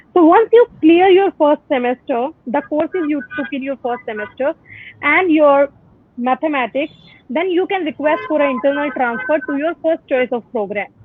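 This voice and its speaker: A woman's high voice with lively intonation at a moderate pace. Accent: Indian. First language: Hindi. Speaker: university admissions representative. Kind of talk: informational webinar Q&A. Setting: Facebook live video call.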